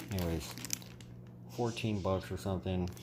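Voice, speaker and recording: There is noticeable background noise as a man with a very deep, low pitch speaks with lively intonation. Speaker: aquarium hobbyist vlogger. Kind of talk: casual vlog ramble. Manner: soft-spoken.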